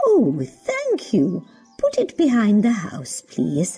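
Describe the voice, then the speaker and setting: A woman uses a put-on character voice with a gentle, warm tone. She speaks at a very slow pace over faint music in the background. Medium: read story.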